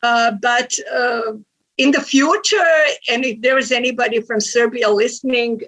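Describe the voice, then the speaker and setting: Speaking at a fairly slow pace with a Croatian accent, a woman uses a high pitch and ordinary pitch variation. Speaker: researcher presenter. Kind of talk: conference Q&A.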